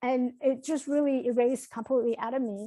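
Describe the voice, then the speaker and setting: Someone speaks at a very fast pace with a Chinese accent. The recording is very clean, with a silent background. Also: woman. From Taiwan, moved to New York at 15. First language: Mandarin Chinese. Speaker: motivational speaker and coach. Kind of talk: podcast interview. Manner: halting.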